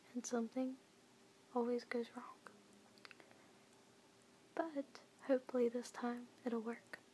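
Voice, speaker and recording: Whispering and soft-spoken, a woman talks at a fairly slow pace with long, frequent pauses over noticeable background noise. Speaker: ASMR content creator. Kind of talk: ASMR children's book reading. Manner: soft-spoken, whispering.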